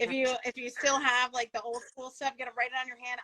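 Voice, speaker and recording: Bright and sharp, a woman's high-pitched, raised, projected voice carries an animated tone and an American accent, with a dry, close sound and no echo. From New York, Long Island. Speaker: veterinary leadership podcast host. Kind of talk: live interview chat. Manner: fast.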